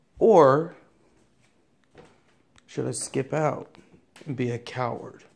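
Speaking at a very slow pace, a man uses vocal fry with ordinary pitch variation. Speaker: vlogger. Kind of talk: casual vlog chat. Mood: hesitant, slightly nervous. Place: home room. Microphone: phone near.

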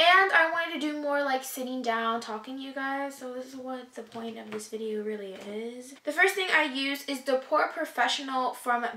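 A woman's raised, projected voice at a moderate pace with hardly any pauses, ordinary pitch variation, big swings in loudness and audible room echo. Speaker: beauty vlogger. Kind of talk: casual vlog chat. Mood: reflective, somewhat emotional. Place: home room. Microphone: camera far.

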